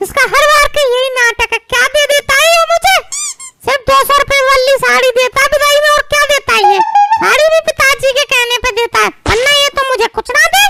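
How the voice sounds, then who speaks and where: Using a put-on character voice, a woman talks at a fairly quick pace in an extremely high pitch with ordinary pitch variation and very even loudness. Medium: comedy sketch. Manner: aggrieved, argumentative.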